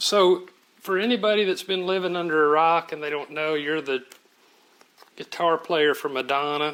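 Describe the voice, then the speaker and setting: A fairly high-pitched man talks with a Southern US accent and ordinary pitch variation. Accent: Southern drawl, sounds redneck. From Oklahoma City. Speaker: music journalist. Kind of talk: interview.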